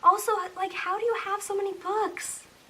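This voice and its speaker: Her voice raised and projected, a woman speaks over noticeable background noise. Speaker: booktuber. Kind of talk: casual talk to camera. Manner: rising intonation, sounds like asking questions; hesitant, says um often.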